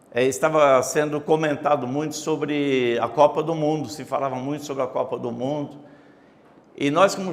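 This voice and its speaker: Through noticeable background noise, a man talks in a fairly high pitch. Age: 70s. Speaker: pastor and former city councillor. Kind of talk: interview, personal memories.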